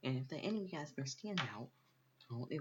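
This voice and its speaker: A whispering voice that sounds somewhat breathy. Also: man. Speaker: gaming video creator. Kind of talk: game tutorial. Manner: halting.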